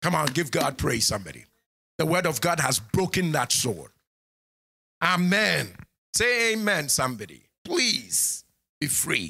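A man with a fairly high pitch and a bright, sharp tone speaks at a fairly slow pace, with very wide pitch swings, vocal fry, long, frequent pauses and very even loudness. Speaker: pastor. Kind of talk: sermon. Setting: church sanctuary with congregation, streamed online. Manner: animated.

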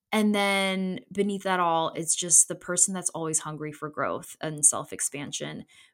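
A woman talks at a moderate pace with hardly any pauses, her pitch fairly low and her tone warm and enthusiastic. The recording is very clean, with a silent background. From Connecticut, US, Polish immigrant family. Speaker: podcast host, designer. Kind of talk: solo monologue, personal storytelling. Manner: warm, enthusiastic; casual with fillers.

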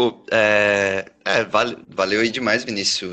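The intonation is monotone and flat, with a bright, sharp tone. The pace is very slow. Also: man. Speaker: singer-songwriter. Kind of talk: interview. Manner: casual.

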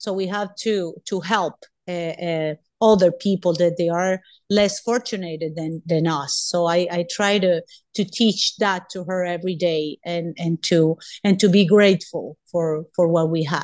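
Fairly even intonation marks this woman's medium-pitched voice. She keeps a moderate pace against a quiet background. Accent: Spanish. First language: Spanish. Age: 40s. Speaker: doctor. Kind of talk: interview. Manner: halting.

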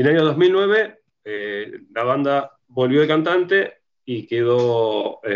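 The speaker is a man. His pitch is medium. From Argentina, Rosario. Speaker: punk band musician. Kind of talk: interview conversation.

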